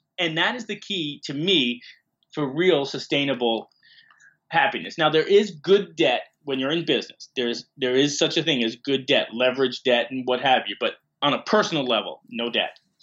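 A man with an American accent talks in a normal speaking voice at a fairly high pitch and a moderate pace. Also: ordinary pitch variation. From New York (Bronx). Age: 50s. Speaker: media entrepreneur. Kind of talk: interview.

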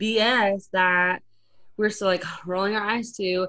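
A woman speaks at a medium pitch in an ordinary speaking voice. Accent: American. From Arizona, small town. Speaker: radio host. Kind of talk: casual interview chat. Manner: talkative, fast.

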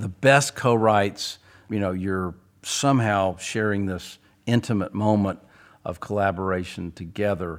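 A man's unremarkable speaking voice, pitched fairly low and delivered at a moderate pace. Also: very clean recording, silent background. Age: 60s. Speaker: songwriter. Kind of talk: casual interview conversation. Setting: studio.

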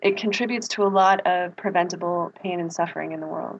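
A woman's plain, everyday voice at a medium pitch, fairly quick and with fairly even intonation. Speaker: public health researcher.

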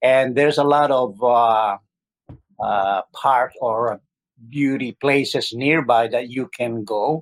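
A man speaks with a Filipino accent. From Philippines. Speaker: healthcare worker, medical technologist. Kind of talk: casual interview.

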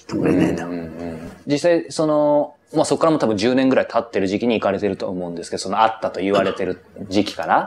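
A man talks at a very fast pace in a fairly low pitch with very wide pitch swings, and noticeable background noise is heard. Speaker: professional interviewer. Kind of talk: interview. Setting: interview in company office.

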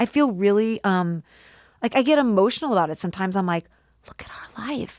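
On a very clean recording with a silent background and a dry, close sound with no echo, a woman with an American accent and an unremarkable speaking voice talks at a fairly quick pace in a medium pitch, her intonation lively and her loudness swinging widely. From US Midwest (St. Louis). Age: 40s. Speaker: podcast producer and host. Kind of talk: casual interview chat.

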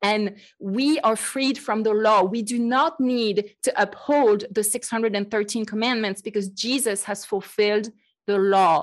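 Speaking at a fairly slow pace with a French accent, a woman uses a fairly high pitch and ordinary pitch variation against a quiet background. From France. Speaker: podcast host and Bible teacher. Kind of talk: casual chat.

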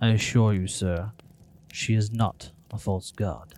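A fairly slow pace marks the delivery of a put-on character voice. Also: man, fairly low pitch for a man. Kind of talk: grandiose fantasy speech. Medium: actual play. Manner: formal, imperious.

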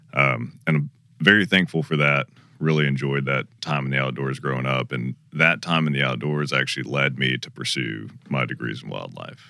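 A man's very deep, low voice with vocal fry, a bright, sharp tone, a Southern US accent and a moderate pace. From Georgia, US South. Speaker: hunting and shooting sports researcher. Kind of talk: casual conversational panel discussion. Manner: talkative, animated.

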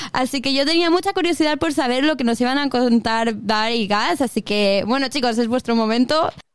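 The speech runs with hardly any pauses and very even loudness. Noticeable background noise sits behind it. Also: woman, high pitch for a woman, ordinary pitch variation, moderate pace. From Mallorca, Spain. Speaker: radio host. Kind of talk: casual interview.

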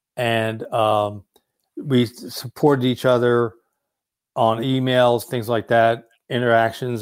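Speaking with an American accent, a man uses a monotone, flat intonation at a medium pitch. The recording is very clean, with a silent background. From New Jersey, Trenton. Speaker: war veteran and author. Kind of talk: interview.

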